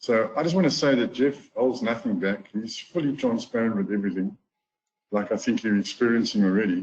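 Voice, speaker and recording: A man speaks with a South African accent at a medium pitch. His pace is fairly quick and his intonation lively. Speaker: golf teacher and trading course affiliate. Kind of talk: webinar testimonial talk.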